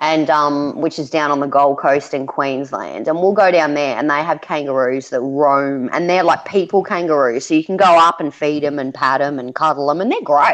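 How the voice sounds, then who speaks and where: With an Australian accent, a woman speaks in a very deep, low pitch at a moderate pace with hardly any pauses and ordinary pitch variation, over noticeable background noise. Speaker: parent homeschooling her daughter, chat guest. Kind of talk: casual chat.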